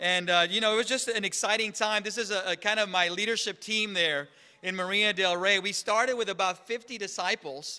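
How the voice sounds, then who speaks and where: Raised and projected, a man's high voice carries a bright, sharp tone and fairly even intonation. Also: fairly quick pace. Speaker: church minister. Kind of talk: sermon.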